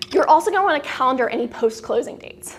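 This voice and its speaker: A woman's high-pitched voice at a fairly quick pace. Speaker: lawyer giving CLE presentation. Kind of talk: lecture. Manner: fast.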